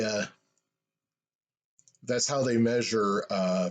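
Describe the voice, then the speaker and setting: Very slowly, a man speaks with fairly even intonation. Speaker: vlogger. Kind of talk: casual monologue. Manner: halting, stammers; pauses to find words.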